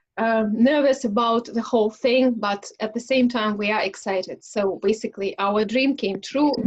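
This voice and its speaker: This speaker talks at a moderate pace in a Russian accent, with ordinary pitch variation. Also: woman. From Russia, Smolensk. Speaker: English conversation club host. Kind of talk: casual self-introduction in online speaking club. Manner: halting, many fillers.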